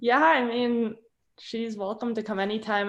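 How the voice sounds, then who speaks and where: A woman with an American accent talks at a moderate pace with fairly even intonation. She has a plain, everyday voice. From Minnesota. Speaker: college skier. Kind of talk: interview. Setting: video call.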